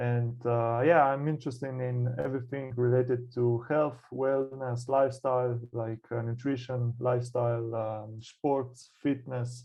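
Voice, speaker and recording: A man with a Slovenian accent speaks at medium pitch and a fairly slow pace. He hardly pauses at all. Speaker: burnout coach. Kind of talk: interview. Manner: halting, many fillers.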